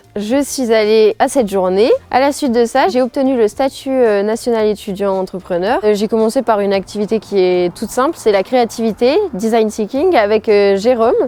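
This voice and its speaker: A woman's fairly high-pitched voice, an ordinary speaking voice, with very even loudness, ordinary pitch variation and hardly any pauses. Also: moderate pace. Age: 20s. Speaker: student entrepreneur. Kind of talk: promotional interview testimony.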